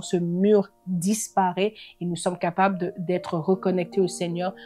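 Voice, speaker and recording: A woman with a non-native accent speaks in monotone, flat intonation at a fairly low pitch, with music in the background. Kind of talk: religious teaching talk. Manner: halting, many hesitations.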